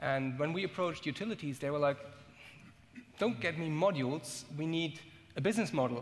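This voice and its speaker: At a fairly quick pace, a man with a fairly high pitch and ordinary pitch variation speaks with long, frequent pauses. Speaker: startup founder. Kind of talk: panel discussion. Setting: stage with audience. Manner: hesitant, many fillers. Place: stage. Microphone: headset.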